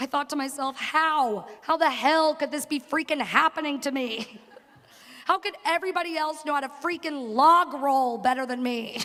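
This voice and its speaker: The speaker has a Long Island accent. The pace is moderate. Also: woman. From working class Long Island. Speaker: graduating student speaker. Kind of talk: commencement speech. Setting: stage with audience.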